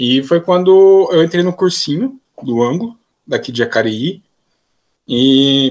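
Speaking at a fairly high pitch, a man uses lively intonation. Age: 20s. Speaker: physics student. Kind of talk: casual interview.

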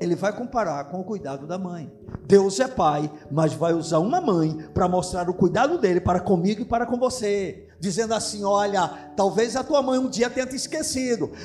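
A man with a high-pitched voice talks at a moderate pace with lively intonation while noticeable background noise runs underneath. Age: 50s. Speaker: pastor. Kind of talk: sermon.

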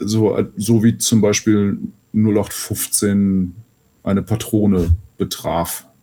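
The voice has a dark, mellow tone, fairly even intonation and a very slow pace. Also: man, fairly low pitch for a man. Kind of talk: casual chat.

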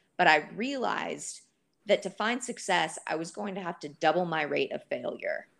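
A woman with an American accent speaks at a moderate pace. Her loudness swings widely. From Texas, Dallas. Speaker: writer and film director. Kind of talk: casual chat. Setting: video call.

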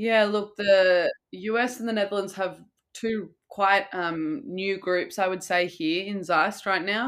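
A woman with an Australian accent speaks at a fairly slow pace. Her pitch is medium, with ordinary variation. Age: 20s. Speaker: professional water polo player. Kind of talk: interview.

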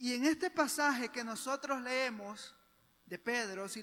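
A man's raised, projected voice, extremely high in pitch, bright and sharp in tone, with lively intonation at a very slow pace. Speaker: preacher. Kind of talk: sermon. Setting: church. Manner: fervent, persuasive pulpit delivery; earnest, didactic, rising intensity.

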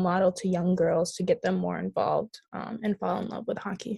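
Speaking at a moderate pace with an American accent, a woman uses a somewhat breathy, dark, mellow tone at medium pitch. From Minnesota. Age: young. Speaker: college ice hockey player. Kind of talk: casual interview.

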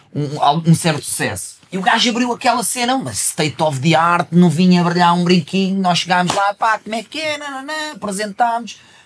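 A man talks at a moderate pace with a high pitch and lively intonation. Noticeable background noise runs behind him. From Portugal, not the north. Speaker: rapper. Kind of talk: casual chat.

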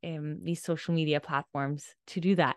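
A woman talks at a fairly low pitch with monotone, flat intonation. The background is quiet. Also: dry, close sound with no echo. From Denmark. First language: Danish. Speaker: life coach. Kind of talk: casual chat.

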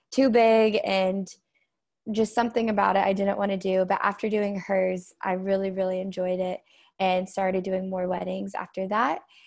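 Over a quiet background, a woman with an ordinary speaking voice talks at a moderate pace and a medium pitch, with fairly even intonation. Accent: American. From Oklahoma, Tulsa. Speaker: florist and student entrepreneur. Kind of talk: casual interview.

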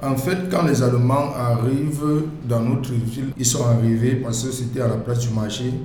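A medium-pitched male voice with fairly even intonation, noticeable background noise and audible room echo. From Cameroon, West region (Dschang). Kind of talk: interview.

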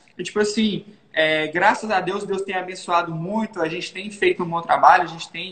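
A man's high-pitched voice with fairly even intonation and noticeable background noise. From Minas Gerais, Brazil (Governador Valadares). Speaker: digital marketing entrepreneur. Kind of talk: casual interview.

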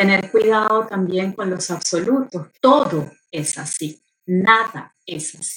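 A woman's somewhat breathy, medium-pitched voice. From Argentina, later Venezuela. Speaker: journalist and motorsport communications professional. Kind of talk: interview conversation. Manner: animated.

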